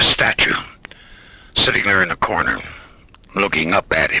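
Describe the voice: Using a put-on character voice, a man speaks low with a bright, sharp tone, a slightly husky edge, lively intonation and a moderate pace.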